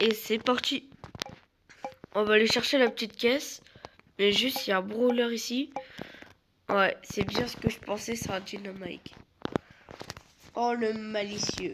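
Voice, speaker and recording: This woman's voice sits fairly high, with ordinary pitch variation. She talks at a fairly slow pace, with long, frequent pauses. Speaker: gaming youtuber. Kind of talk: gameplay commentary.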